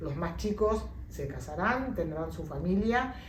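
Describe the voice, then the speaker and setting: A woman with a Rioplatense accent, audible room echo and noticeable background noise. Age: 60s. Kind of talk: interview testimony.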